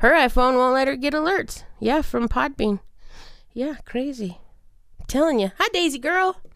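A woman speaks loudly at a moderate pace, her high voice rising and falling with lively intonation. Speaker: podcast co-host. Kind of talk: casual chat. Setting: studio.

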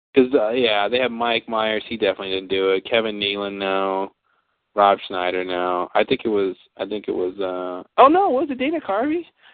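The man's pitch is fairly low, and his intonation is fairly even. He keeps a moderate pace. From Texas. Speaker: podcast host. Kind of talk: casual chat. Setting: recorded live. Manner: halting.

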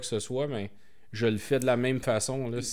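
A man with an ordinary speaking voice talks at a fairly slow pace in a medium pitch with fairly even intonation, in a very clean recording with a silent background. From Quebec, Montreal. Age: 40s. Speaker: entrepreneur. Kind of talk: interview.

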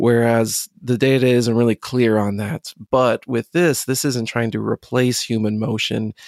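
A man with an American accent and a plain, everyday voice speaks at a fairly slow pace and medium pitch, with fairly even intonation and hardly any pauses. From United States. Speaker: podcast host. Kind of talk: interview.

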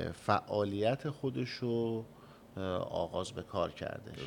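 A man speaks at a very slow pace. His fairly low voice keeps a fairly even intonation. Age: young. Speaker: chamber of commerce head. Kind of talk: radio interview. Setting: studio.

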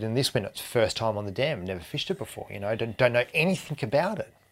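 A very fast pace in an Australian accent, on a very clean recording with a silent background. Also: man. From Tasmania, Australia. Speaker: fly fishing guide. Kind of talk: casual chat.

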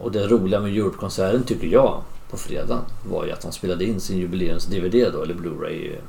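Speaking at a fairly quick pace, a man uses a normal speaking voice with ordinary pitch variation. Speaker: podcast host. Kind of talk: casual family conversation.

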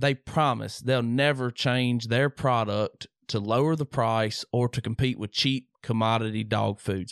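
A man's medium-pitched voice with a Southern US accent and fairly even intonation, in a dry, close sound with no echo. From Mississippi. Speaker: podcast host. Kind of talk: casual chat. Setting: home studio.

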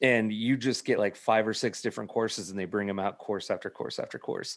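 A man with a fairly low voice speaks at a fairly quick pace in an ordinary speaking voice, his intonation fairly even against a quiet background. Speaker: food truck owner. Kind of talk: casual chat. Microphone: good mic, headphones.

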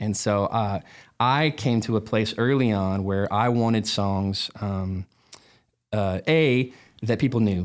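Over a very clean recording with a silent background, a man with a normal speaking voice and fairly low pitch speaks at a fairly slow pace with fairly even intonation. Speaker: worship pastor. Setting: studio.

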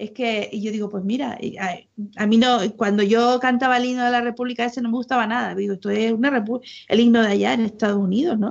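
A woman with a fairly high pitch talks at a very fast pace. Her intonation stays fairly even. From Canary Islands, Las Palmas province. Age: 50s. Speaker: former church member. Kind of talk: casual chat.

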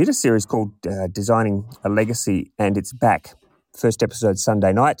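The dry, close sound with no echo carries a man's fairly low voice at a fairly quick pace. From rural Western Australia. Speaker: podcast host. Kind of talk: casual interview chat.

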